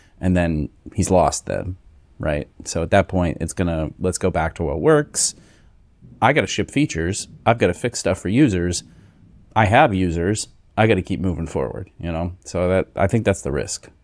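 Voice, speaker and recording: A man with a very deep, low voice speaks at a moderate pace with lively intonation, the sound dry with no echo against a quiet background. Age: 40s. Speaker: podcast co-host. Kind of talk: casual chat. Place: home room. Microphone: studio mic.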